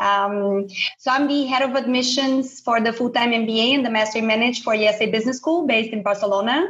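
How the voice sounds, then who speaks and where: The speaker talks at a fairly quick pace in a Portuguese accent. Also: woman, fairly high pitch for a woman, ordinary pitch variation, very even loudness. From Brazil. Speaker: business school admissions head. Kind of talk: podcast discussion.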